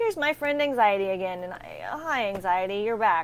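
Speaking with a Texan accent, a woman uses a medium pitch. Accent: Texan American. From Texas. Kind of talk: interview.

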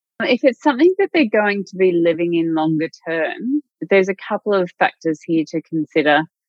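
Speaking in an Australian accent, a woman with a medium-pitched voice and lively intonation talks at a moderate pace. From country Victoria, Australia (Wodonga). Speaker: mortgage broker. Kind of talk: interview.

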